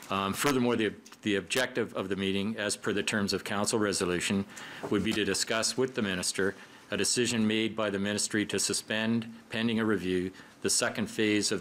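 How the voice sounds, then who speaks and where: With light background noise behind him, a man speaks at a fairly quick pace and a fairly low pitch in a monotone, flat intonation. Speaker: council chair. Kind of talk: formal report to council. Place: hall. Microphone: podium.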